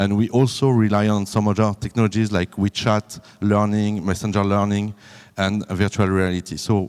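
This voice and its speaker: On a very clean recording with a silent background, a man with a French accent talks at a moderate pace in a fairly low voice. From France. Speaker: business development manager. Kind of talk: conference presentation. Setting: conference room with audience. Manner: halting, many fillers.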